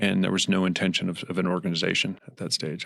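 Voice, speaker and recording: A man speaks at a very fast pace with a very deep, low pitch. The recording is very clean with a silent background. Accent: American. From rural southern Colorado. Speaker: addiction recovery program founder. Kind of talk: podcast interview.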